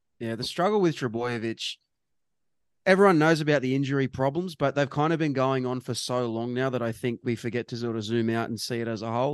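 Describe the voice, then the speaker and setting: Very fast speech comes from a man with an Australian accent. The sound is dry and close, with no echo. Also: quiet background. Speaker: rugby league podcast co-host. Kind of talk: casual sports chat. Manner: jokey.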